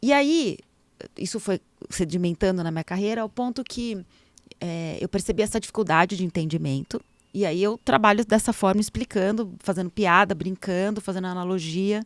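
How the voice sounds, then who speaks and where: With an animated tone and ordinary pitch variation, a medium-pitched woman is heard in a dry, close sound with no echo on a very clean recording with a silent background. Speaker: entertainment lawyer. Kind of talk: casual interview chat. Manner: fast.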